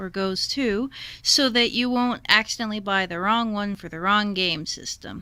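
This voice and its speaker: Her voice is bright and sharp in tone, and this woman speaks at a fairly high pitch. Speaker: retro gaming video host. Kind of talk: casual explainer talk to camera. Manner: slow, measured.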